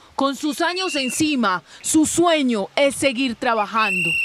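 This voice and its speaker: Speech moves at a very slow pace over noticeable background noise. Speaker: TV news reporter. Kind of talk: TV news report narration.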